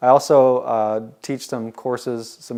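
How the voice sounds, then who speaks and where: His tone is dark and mellow. The man's intonation stays monotone and flat. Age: 40s. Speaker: insurance agent and adjunct instructor. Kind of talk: interview testimony.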